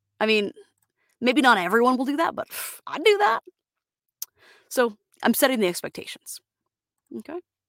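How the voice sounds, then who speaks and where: Speaking with an American accent, a woman with a high pitch moves at a fairly quick pace through very wide pitch swings and long, frequent pauses, in a dry, close sound with no echo. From Florida, US. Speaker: voice actor. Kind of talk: solo podcast monologue, casual. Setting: home studio booth, sound-deadened. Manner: casual with frequent fillers.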